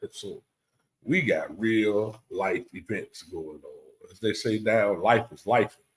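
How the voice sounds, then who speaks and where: The man's loudness swings by big amounts. He talks very slowly. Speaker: podcast host. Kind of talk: casual chat.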